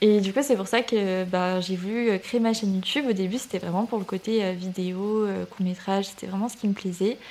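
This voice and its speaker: A woman with a normal speaking voice, medium in pitch, at a moderate pace with fairly even intonation and hardly any pauses. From southern France, Toulouse area. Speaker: student and content creator. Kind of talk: casual interview chat.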